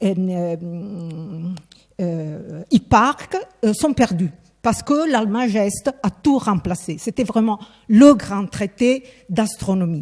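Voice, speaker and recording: A woman at medium pitch with lively intonation, very slow and broken by long, frequent pauses. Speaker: scholar, historian of science. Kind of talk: lecture. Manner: hesitant, many fillers.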